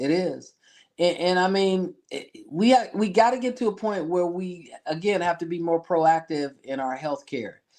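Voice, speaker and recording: A man with an ordinary speaking voice, fairly slow pace and ordinary pitch variation against a quiet background. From Michigan, US. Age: 60s. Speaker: insurance business owner and pastor. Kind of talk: casual interview. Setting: studio.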